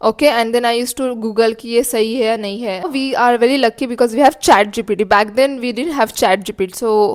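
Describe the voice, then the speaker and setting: Speaking with a Marathi accent, a woman talks very fast with hardly any pauses. Her pitch is fairly high and her intonation fairly even. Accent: Indian English, Marathi. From India, Marathi-speaking (Maharashtra). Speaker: cabin crew vlogger. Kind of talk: casual vlog tutorial, Hindi-English mix. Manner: casual, with fillers.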